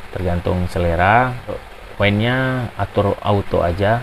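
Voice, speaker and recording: A man talks at a fairly low pitch with ordinary pitch variation, and there is noticeable background noise. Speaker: tech reviewer. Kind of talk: product tutorial. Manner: casual, hesitant with fillers.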